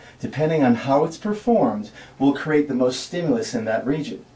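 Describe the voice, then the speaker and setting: Audible room echo surrounds a fairly high-pitched man whose pitch swings very widely. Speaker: personal trainer. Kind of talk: tutorial. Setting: gym. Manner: fast.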